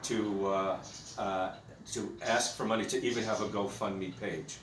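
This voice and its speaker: Noticeable background noise and audible echo from the room accompany fairly slow speech. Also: man. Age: 60s. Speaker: guide dog handler. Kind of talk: personal video message. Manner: halting, many fillers.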